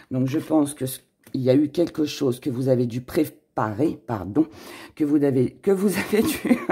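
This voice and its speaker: A man's raspy, put-on character voice, fairly high in pitch, with ordinary pitch variation at a moderate pace. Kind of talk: casual, conversational. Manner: stumbling over words, self-correcting.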